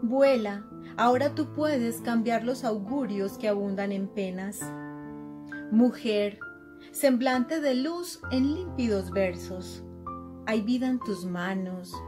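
Clear music plays in the background as a woman with an Antioquian accent speaks at a very slow pace with long, frequent pauses. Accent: Colombian, Antioquia. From Colombia. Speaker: poet. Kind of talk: poetry reading. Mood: solemn, heartfelt. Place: home room. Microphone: webcam.

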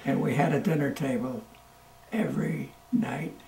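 Over light background noise and audible room echo, a man with an American accent speaks at a moderate pace. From Milton, Massachusetts. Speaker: war veteran. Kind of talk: interview answer. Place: home room.

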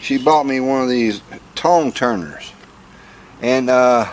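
A man with ordinary pitch variation over light background noise. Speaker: vlogger. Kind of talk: casual vlog chat. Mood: wry, joking. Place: garden.

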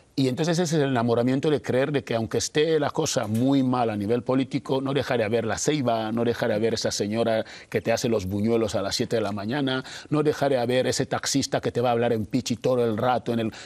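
Very fast in pace, a man speaks with ordinary pitch variation. His loudness stays very even. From Equatorial Guinea. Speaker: illustrator. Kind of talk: interview. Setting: studio. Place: studio.

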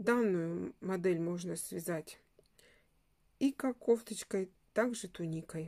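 A woman's medium-pitched voice, dark and mellow in tone, at a very slow pace with long, frequent pauses, ordinary pitch variation and big swings in loudness. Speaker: crochet instructor. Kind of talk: tutorial.

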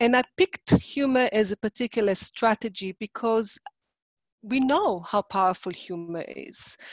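A woman with an Israeli accent speaks at a fairly high pitch with lively intonation and big swings in loudness, recorded dry with no echo in a quiet background. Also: moderate pace. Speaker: psychologist and workshop presenter; presenter. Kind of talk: online workshop presentation. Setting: video call. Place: home room. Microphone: webcam.

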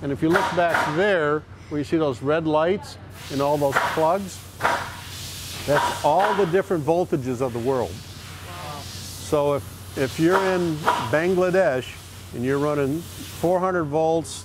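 Over noticeable background noise, a man talks at a fairly slow pace with long, frequent pauses, and the sound is dry with no echo. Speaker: company guide on factory tour. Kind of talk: guided tour explanation.

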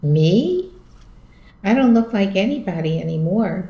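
Somewhat breathy speech at a fairly slow pace with audible room echo. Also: woman. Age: 70s. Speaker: film commentator; interviewee. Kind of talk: casual chat; casual interview answer. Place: home room. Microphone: video call.

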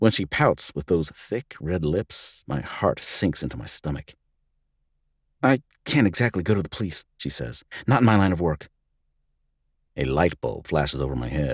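With vocal fry and a very deep, low pitch, a man speaks at a moderate pace with very wide pitch swings and long, frequent pauses, in a dry, close sound with no echo. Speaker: voice actor; audiobook narrator. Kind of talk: audiobook narration, hard-boiled noir first-person story.

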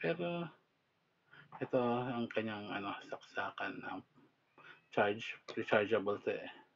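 At a medium pitch, a man speaks at a fairly slow pace with lively intonation, long, frequent pauses and big swings in loudness. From Philippines. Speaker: product reviewer. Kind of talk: casual product review. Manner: halting. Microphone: phone near.

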